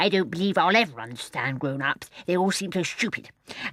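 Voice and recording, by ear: Reading aloud, in a natural voice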